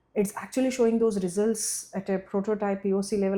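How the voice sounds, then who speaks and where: This woman talks fairly quickly with a Telugu accent. Her voice sits at a medium pitch and has a dark, mellow tone. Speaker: startup founder. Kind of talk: podcast interview. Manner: halting, many fillers.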